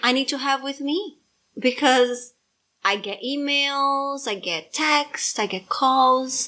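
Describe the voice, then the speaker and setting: Very slow and in a raised, projected voice, a woman speaks with a high pitch, a bright, sharp tone and ordinary pitch variation on a very clean recording with a silent background. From Brazil. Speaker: parent podcast co-host. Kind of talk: casual chat. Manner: loud.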